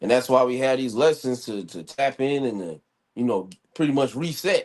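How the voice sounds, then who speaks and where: This man talks at a medium pitch with lively intonation. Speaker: Hebrew Israelite teacher. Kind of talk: bible lesson livestream. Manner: fast; casual, halting.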